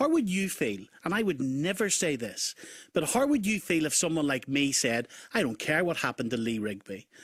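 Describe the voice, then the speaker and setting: A man with a Northern Irish accent speaks at a moderate pace in a fairly high pitch with very wide pitch swings, recorded very cleanly against a silent background. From Northern Ireland. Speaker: radio talk show host. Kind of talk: heated debate. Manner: animated.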